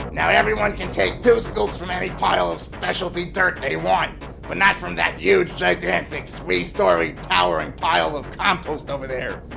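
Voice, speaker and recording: A man's cartoonish character voice at a moderate pace over loud background noise. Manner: gruff, impatient.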